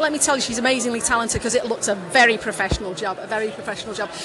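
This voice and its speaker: Over noticeable background noise, a raised, projected voice rushes at a very fast pace with ordinary pitch variation. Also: woman. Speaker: podcast host. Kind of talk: casual interview chat. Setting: conference event venue.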